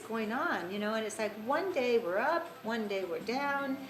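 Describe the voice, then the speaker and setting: Audible room echo and noticeable background noise accompany a woman's voice. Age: 60s. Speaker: spiritual teacher. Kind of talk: casual talk. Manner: halting.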